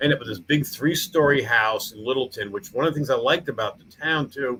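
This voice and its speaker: Talking at a very fast pace, a man speaks in a New York accent. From Long Island, New York. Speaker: town mayor and museum founder. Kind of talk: interview chat. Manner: halting.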